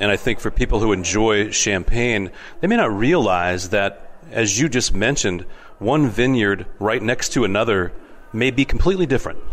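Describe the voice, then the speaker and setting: A plain, everyday voice from a man, medium in pitch with ordinary pitch variation, very even loudness and a moderate pace. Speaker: wine show host. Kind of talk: radio-style interview show. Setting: on location at a wine festival.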